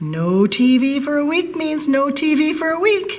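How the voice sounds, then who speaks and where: A woman speaks in a put-on character voice, high-pitched and at a moderate pace. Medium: read story.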